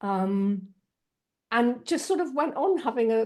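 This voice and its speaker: A woman with a southern English accent speaks at a fairly high pitch. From southeast England, Kent. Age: 50s. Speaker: energy healer and spiritual channel. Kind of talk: interview. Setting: video call.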